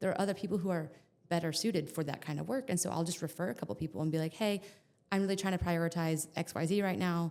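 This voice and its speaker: At a very fast pace, a woman talks with a fairly low pitch and ordinary pitch variation. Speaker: photographer. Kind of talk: podcast interview.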